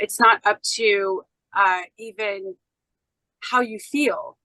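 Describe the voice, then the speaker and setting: A woman talks loudly in a bright, sharp tone, recorded dry and close with no echo. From United States. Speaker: podcast guest, independent researcher. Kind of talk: podcast interview. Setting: podcast interview.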